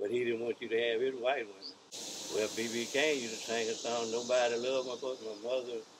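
A man with a Mississippi accent talks at a fairly quick pace in a monotone, flat delivery. Noticeable background noise runs behind him. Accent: Southern US, Mississippi. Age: 80s+. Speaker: elderly relative interviewee. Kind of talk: interview answer. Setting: outdoors. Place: home room.

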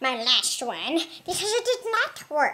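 A cartoonish character voice comes at a fairly slow pace. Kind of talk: comedic puppet interview.

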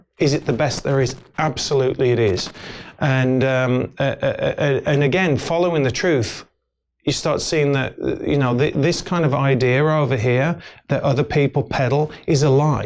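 The speaker has an English Midlands accent. Their intonation stays fairly even. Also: man, fairly high pitch for a man, moderate pace. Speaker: actor and filmmaker. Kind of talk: casual interview chat. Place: studio. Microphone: lapel.

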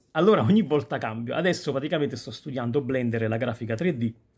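A man's pitch rises and falls in an ordinary way, and the background stays quiet. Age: 40s. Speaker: YouTuber; youtuber. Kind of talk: casual vlog monologue. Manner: halting. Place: home room. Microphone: phone near.

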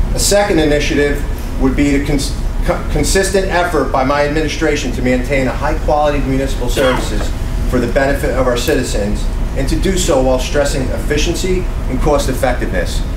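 A man talks at a very fast pace. Noticeable background noise sits behind him. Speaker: town mayor running for re-election. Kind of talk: campaign speech. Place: hall. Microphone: camera far.

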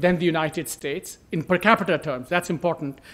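The pace is moderate. A man delivers it with lively intonation. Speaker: economist; speaker. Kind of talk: presentation. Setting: conference panel with audience. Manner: animated. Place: hall. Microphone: podium.

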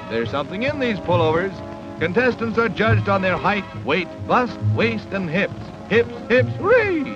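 A man speaks at a high pitch and moderate pace in an upbeat tone. Clear music plays behind his dry, echo-free sound. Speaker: newsreel narrator. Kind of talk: newsreel narration. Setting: vintage film soundtrack. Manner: upbeat, jokey. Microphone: old recording.

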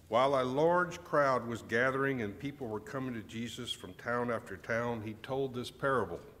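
This man talks at a moderate pace with ordinary pitch variation and hardly any pauses. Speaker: pastor. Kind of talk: reading aloud. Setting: church. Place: church. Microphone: podium.

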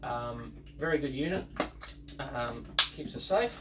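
Noticeable noise in the background behind a man speaking at a medium pace. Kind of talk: casual vlog explanation. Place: boat. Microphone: camera far.

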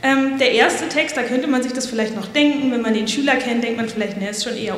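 There is audible room echo as a woman talks with fairly even intonation at a fairly high pitch.

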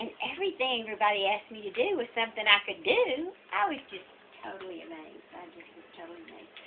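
A woman's fairly high voice with an American accent, very fast pace and lively intonation, over light background noise. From Texas. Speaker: great-grandmother. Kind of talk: casual storytelling. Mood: warm, amused nostalgia. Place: kitchen. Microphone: phone near.

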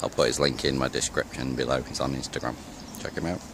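A man's very deep, low voice in a monotone, flat delivery, dry with no echo, over noticeable background noise. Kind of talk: casual vlog chat. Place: open country. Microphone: phone near.

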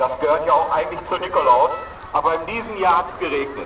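A man talks at a fairly quick pace in a high voice, with noticeable background noise behind him. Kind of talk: public welcome speech. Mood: warm, cheerful. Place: market.

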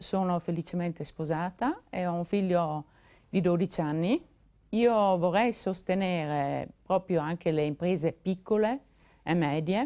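A woman talks at a fairly slow pace in a dark, mellow tone with a fairly low pitch. Her pitch varies in an ordinary way, and the background is quiet. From South Tyrol, Italy (San Candido, Puster Valley); South Tyrol, Italy. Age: 50s. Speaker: political candidate; candidate. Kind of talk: televised election debate. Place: studio. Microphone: lapel.

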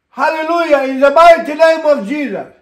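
A man speaks at an extremely high pitch. The background is quiet, with audible room echo. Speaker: pastor. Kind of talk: fervent spoken prayer. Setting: online broadcast. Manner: impassioned, stacking urgent commands and repeated 'my Lord'; punctuated by ecstatic interjections of hallelujah and amen. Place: home room.

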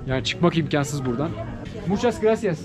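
A man's fairly high voice over noticeable background noise. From Turkey. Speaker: travel vlogger. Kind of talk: travel vlog narration. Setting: outdoors. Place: shop. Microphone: phone near.

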